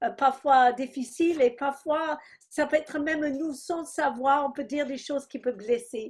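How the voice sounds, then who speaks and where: A woman speaks very slowly in an English accent with a high pitch. The recording is very clean, with a silent background. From England. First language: English (speaking French). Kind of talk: testimony.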